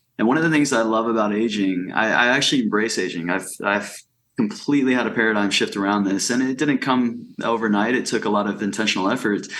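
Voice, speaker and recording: Very fast speech from a man, with very even loudness, ordinary pitch variation, and audible room echo. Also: medium pitch for a man. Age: 30s. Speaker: life coach. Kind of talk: casual interview conversation.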